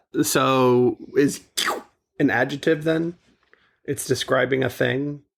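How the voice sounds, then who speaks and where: The man speaks at a very slow pace, his intonation fairly even. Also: medium pitch for a man. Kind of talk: casual podcast conversation. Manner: no sadness in voice.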